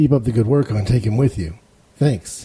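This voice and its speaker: A man speaks fairly quickly in an American accent. His voice is somewhat breathy with a dark, mellow tone. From Ohio. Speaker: listener and podcaster. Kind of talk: recorded listener comment.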